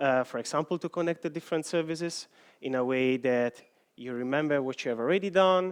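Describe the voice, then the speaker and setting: With an Italian accent, a man talks at a fairly quick pace with ordinary pitch variation, in a dry, close sound with no echo and a quiet background. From Italy. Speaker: software engineer. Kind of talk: conference talk.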